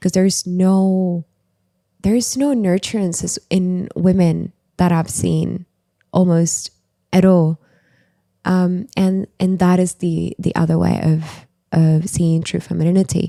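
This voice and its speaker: Dry and close with no echo, the recording has a woman speaking very slowly with a non-native accent, her fairly low, dark, mellow voice keeping a fairly even intonation between long, frequent pauses. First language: not English. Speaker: writer and former new age practitioner. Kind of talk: podcast interview.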